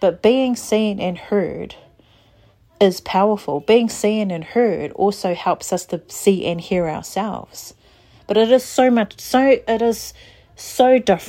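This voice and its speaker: In a New Zealand accent, a woman with a medium pitch and a dark, mellow tone talks at a fairly slow pace with ordinary pitch variation. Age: 40s. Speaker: podcast host and therapist. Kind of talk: casual monologue.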